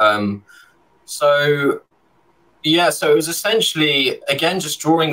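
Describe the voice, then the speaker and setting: With a London accent, a man speaks at a fairly high pitch. His pitch varies in an ordinary way against a quiet background. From London, England. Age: 30s. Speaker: illustrator. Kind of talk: casual chat. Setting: video call. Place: home room. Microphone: studio mic.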